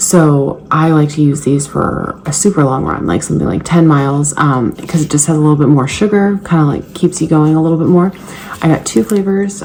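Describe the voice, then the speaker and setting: A woman's very deep, low voice with ordinary pitch variation at a fairly quick pace, over noticeable background noise. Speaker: fitness vlogger and trainer. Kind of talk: casual vlog. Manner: whispering.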